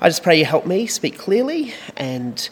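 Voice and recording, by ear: A man with a slightly husky edge, big pitch swings and a moderate pace. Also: fairly high pitch for a man.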